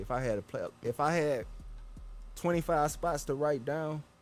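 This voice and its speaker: A man with an American accent talks at a fairly quick pace in a medium pitch. Music plays in the background. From Texas, Houston. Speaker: podcast host. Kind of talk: casual chat. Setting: outdoors. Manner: animated.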